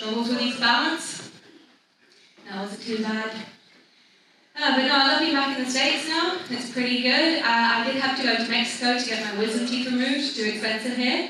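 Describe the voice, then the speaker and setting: Over noticeable background noise and audible room echo, a woman with a high voice talks at a fairly quick pace with ordinary pitch variation. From Britain and France. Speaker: stand-up comedian. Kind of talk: stand-up. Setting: stage with audience.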